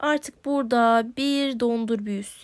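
A woman speaks at a high pitch on a very clean recording with a silent background. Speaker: gaming YouTuber. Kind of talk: gameplay commentary. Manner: animated, laughing.

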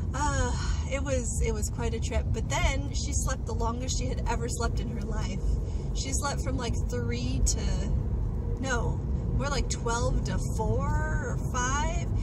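Loud background noise fills the clip. A woman speaks at a fairly slow pace. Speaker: new mother vlogger. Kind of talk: casual vlog chat. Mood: relaxed, cheerful. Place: car. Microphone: phone near.

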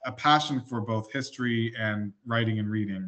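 Against a quiet background, a man with an American accent speaks at a fairly slow pace with fairly even intonation. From New Jersey, US. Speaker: indie author; guest. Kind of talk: interview. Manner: halting, many fillers and repeats. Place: home room. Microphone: video call.

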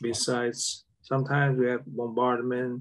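A man talks at a medium pitch with a Vietnamese accent. The background is quiet. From South Vietnam, Saigon. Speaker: war veteran. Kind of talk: interview. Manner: halting. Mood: calm, reflective. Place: home room. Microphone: video call.

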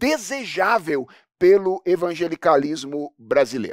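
The voice swings very widely in pitch. The sound is dry with no echo, over a quiet background. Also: man. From Brazil, Minas Gerais. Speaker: pastor. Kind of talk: lecture. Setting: stage with audience. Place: studio. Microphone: headset.

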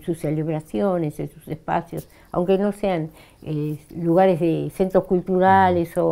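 Fairly low in pitch with a dark, mellow tone, a woman speaks at a fairly slow pace with ordinary pitch variation. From Argentina, Río Negro (General Roca); Río Negro, Argentina. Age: 60s. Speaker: Mapuche actress and cultural worker; Mapuche actress. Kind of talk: interview. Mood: warm, reflective. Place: studio. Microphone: lapel.

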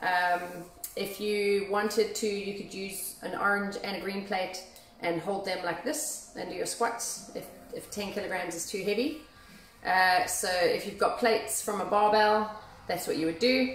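Light background noise and audible room echo surround a woman speaking at a fairly slow pace with ordinary pitch variation. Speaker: fitness instructor. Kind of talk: workout instruction. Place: gym. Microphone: phone near.

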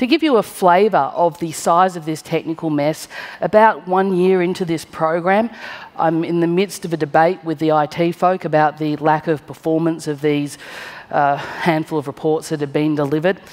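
A woman speaks in a plain, everyday voice at a moderate pace. Her pitch is fairly low and her intonation fairly even. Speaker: conference speaker. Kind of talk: conference talk, storytelling. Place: stage. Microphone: headset.

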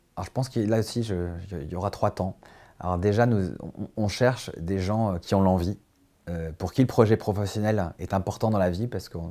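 A man speaks at a fairly quick pace in a fairly low pitch, his intonation fairly even and his tone dark and mellow. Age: 40s. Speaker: company CEO. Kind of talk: corporate recruitment interview. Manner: hesitant, many fillers and repetitions. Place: office. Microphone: lapel.

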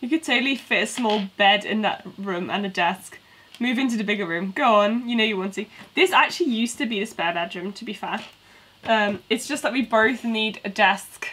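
A woman with a British accent, a bright, sharp tone, fairly high pitch, ordinary pitch variation and a fairly quick pace. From UK. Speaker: toy building streamer. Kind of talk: casual live stream chat. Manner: animated. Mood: relaxed, playful. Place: home room.

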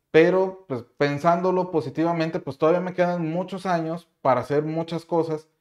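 Over a quiet background, a man with a plain, everyday voice speaks at a fairly high pitch with fairly even intonation. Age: 30s. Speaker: YouTuber and CAD instructor; course creator, youtuber. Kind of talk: casual vlog monologue. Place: home room.

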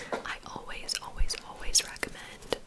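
The speech is whispered by a woman. She goes along at a very slow pace. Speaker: ASMR creator. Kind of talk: ASMR bookstore checkout roleplay, chatty talk to the listener. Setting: studio, typing and book sounds. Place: home room. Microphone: studio mic.

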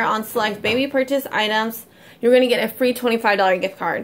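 This woman has a high pitch and ordinary pitch variation. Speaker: couponing vlogger. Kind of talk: casual vlog chat. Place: home room. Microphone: phone near.

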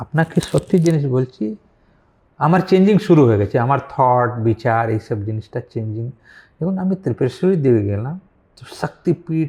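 With a Hindi accent, a man speaks at medium pitch in a dark, mellow, somewhat breathy tone with lively intonation. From Varanasi, northern India. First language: Hindi (speaking Bengali). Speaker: philosopher and businessman. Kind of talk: interview. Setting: online live talk.

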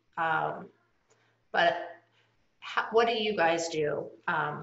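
Audible echo from the room surrounds a woman's voice. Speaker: nonprofit board member and moderator. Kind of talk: moderated Q&A discussion. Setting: video call. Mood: warm, calm. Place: home room. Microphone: webcam.

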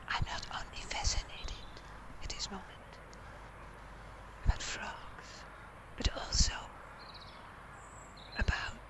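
A fairly slow whisper broken by long, frequent pauses, with noticeable noise in the background. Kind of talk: ASMR whisper recorded outdoors. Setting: outdoors. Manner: whispered.

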